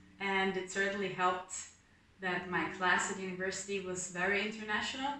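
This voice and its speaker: Noticeable background noise and audible room echo surround a woman of medium pitch speaking with fairly even intonation. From northern Italy, near Austria. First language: German. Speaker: university student. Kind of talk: casual interview.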